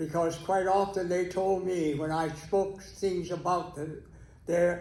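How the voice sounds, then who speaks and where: A high-pitched man in an American accent, fairly slow and with fairly even intonation, in audible room echo. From Texas. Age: 90s. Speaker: keynote speaker, retired educator. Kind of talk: interview-style testimony on stage. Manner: halting.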